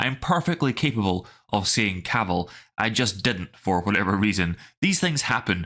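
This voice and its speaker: With a Scottish accent, a man of fairly low pitch speaks in a bright, sharp tone on a very clean recording with a silent background. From Scottish Highlands. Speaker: YouTube film commentator. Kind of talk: scripted commentary.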